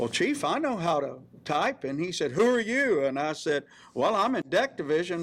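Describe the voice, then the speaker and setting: In a South Carolina accent, a man talks at a moderate pace with a high pitch and very wide pitch swings. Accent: Southern US (South Carolina). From US South, rural South Carolina. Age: 70s. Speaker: navy veteran. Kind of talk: interview, personal reminiscence. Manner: hesitant, many fillers.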